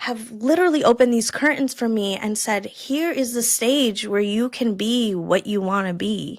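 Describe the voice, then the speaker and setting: Her pitch fairly high with ordinary variation, a woman speaks at a moderate pace. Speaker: podcast host. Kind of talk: casual chat. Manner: halting.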